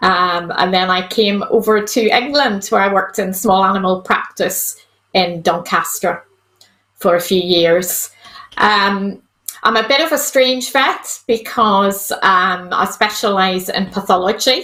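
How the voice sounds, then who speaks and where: A woman in a Northern Irish accent, medium pitch, ordinary pitch variation, very even loudness and a fairly slow pace. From Northern Ireland, County Antrim. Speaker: vet. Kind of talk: casual interview.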